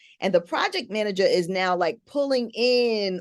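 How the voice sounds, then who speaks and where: A woman speaks in a normal speaking voice with lively intonation. The background is quiet. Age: 60s. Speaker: podcast host. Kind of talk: casual chat.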